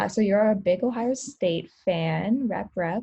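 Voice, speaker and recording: A woman's medium-pitched, dark, mellow voice with vocal fry and lively intonation. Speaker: sports podcast co-host. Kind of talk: casual chat.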